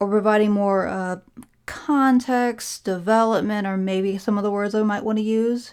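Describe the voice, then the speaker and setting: The speech keeps a moderate pace with fairly even intonation. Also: woman. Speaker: podcaster. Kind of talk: casual podcast-style review. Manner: rambling, hesitant.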